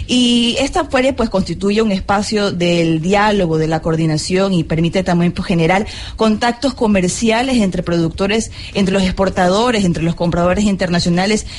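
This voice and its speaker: Over noticeable background noise, a woman speaks at a moderate pace and medium pitch with ordinary pitch variation and very even loudness. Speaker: radio host. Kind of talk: live radio interview. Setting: live broadcast at a fair.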